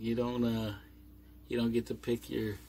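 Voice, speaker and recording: A man's medium-pitched voice on a very clean recording with a silent background. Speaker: vlogger living on a boat. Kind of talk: casual vlog monologue. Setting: inside a boat cabin, doors closed. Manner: slow.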